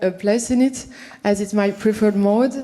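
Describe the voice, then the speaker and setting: A woman speaks with a French accent. Noticeable background noise runs under her voice. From France. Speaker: visual artist. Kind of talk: reading a prepared talk at an event. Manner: halting, with many fillers and restarts.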